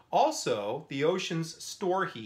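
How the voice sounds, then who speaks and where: The man's intonation is lively as he talks. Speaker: science teacher. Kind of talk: lecture. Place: home room. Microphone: phone near.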